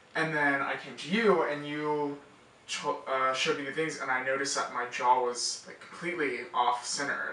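Audible room echo and light background noise surround a man who speaks at a moderate pace with a fairly high pitch and fairly even intonation. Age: young. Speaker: college student. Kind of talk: patient testimonial interview answer. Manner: casual, hesitant with fillers. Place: office.

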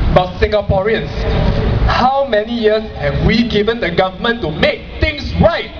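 Over noticeable background noise, a man talks at a moderate pace. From Singapore. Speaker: blogger. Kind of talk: protest speech. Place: stage.

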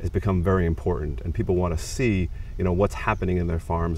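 A man speaks with ordinary pitch variation. The sound is dry with no echo, over light background noise. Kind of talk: interview answer. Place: garden. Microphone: lapel.

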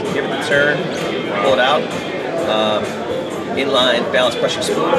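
With music behind him, a man is talking. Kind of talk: product demo interview. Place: hall. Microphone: camera far.

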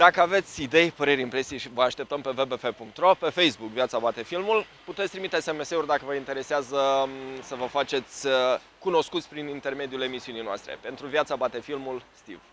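At a fairly quick pace, a man speaks in a fairly high pitch with a bright, sharp tone, ordinary pitch variation and big swings in loudness, the sound dry with no echo and light background noise behind him. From Romania. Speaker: street interview show host. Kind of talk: presenter talk to camera. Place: street. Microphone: handheld.

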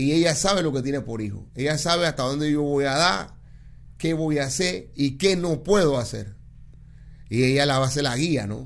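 A man with a fairly high pitch, moderate pace and ordinary pitch variation. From Panama. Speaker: DJ and political candidate; radio DJ, candidate. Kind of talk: interview. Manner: plain-spoken. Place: studio. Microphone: studio mic.

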